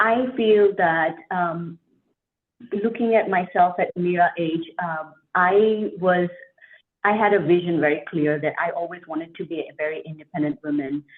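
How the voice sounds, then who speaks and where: A woman with a non-native accent speaks at fairly low pitch. She keeps a moderate pace with ordinary pitch variation. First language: not English. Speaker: franchise owner. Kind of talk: interview.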